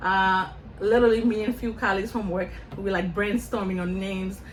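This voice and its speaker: The room echo is audible. Speech moves at a fairly quick pace with fairly even intonation. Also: woman. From Senegal, West Africa. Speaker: nonprofit founder, college counselor. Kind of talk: interview. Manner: conversational.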